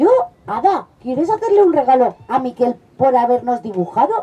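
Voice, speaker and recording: A woman speaks in a high-pitched voice at a moderate pace. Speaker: children's storyteller. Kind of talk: storytelling performance with character voices.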